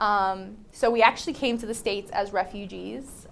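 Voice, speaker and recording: A woman at medium pitch with a New Jersey accent and fairly even intonation. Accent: New Jersey American English. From New Jersey, Vineland. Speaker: high school English teacher. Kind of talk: casual interview. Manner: casual, many fillers.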